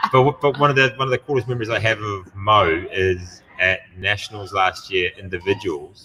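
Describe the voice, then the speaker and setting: A man with a fairly low pitch speaks with hardly any pauses against noticeable background noise. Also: ordinary pitch variation, moderate pace. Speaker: gym owner and podcast host. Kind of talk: casual chat. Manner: animated.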